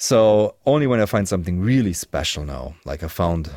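A man's fairly low voice with a German accent, lively intonation, a moderate pace, and a dry, close sound with no echo. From Germany. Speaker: musician and YouTuber. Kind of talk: casual chat. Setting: video call.

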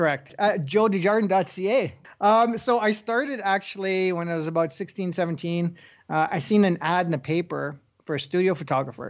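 This man has a Northern Ontario accent and a high pitch. He talks at a moderate pace with ordinary pitch variation. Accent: Canadian (Northern Ontario). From Northern Ontario, Canada (Sault Ste. Marie). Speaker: wildlife photographer. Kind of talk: casual interview.

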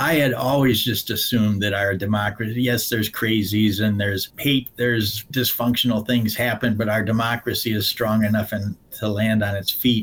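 A man with a fairly low pitch talks at a moderate pace, with hardly any pauses and flat, monotone intonation. Noticeable background noise sits behind him. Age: 70s. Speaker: lawyer. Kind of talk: interview.

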